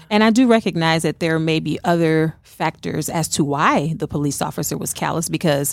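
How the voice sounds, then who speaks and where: A woman with a very deep, low pitch and vocal fry talks at a fairly quick pace with ordinary pitch variation. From New Orleans. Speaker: gospel musician. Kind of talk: casual chat. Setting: studio.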